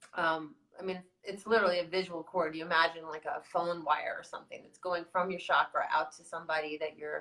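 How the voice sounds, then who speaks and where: A woman's bright, sharp tone at a fairly quick pace. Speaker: video blogger. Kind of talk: casual chat. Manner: fast; animated.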